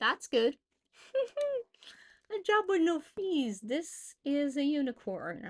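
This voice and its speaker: Loud and high-pitched, a woman talks very slowly with very wide pitch swings and long, frequent pauses, all in a dry, close sound with no echo. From Portugal. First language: Portuguese. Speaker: freelancer streamer. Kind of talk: live stream, casual thinking aloud while working.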